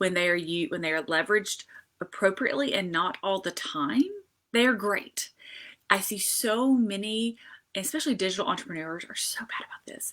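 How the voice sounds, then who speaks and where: In a Southern US accent, a woman speaks at a medium pitch and a moderate pace with lively intonation. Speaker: social media marketing consultant. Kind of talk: live stream tutorial. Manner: casual, many fillers.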